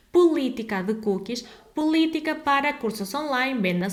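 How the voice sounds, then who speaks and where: A fairly high female voice, lively in intonation, at a medium tempo. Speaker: legal advisor. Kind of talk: tutorial.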